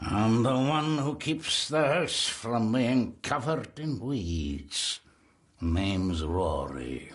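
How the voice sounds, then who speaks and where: Someone talks very slowly in a put-on character voice. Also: man, medium pitch for a man. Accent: Scottish. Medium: video game. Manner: terse, ominous.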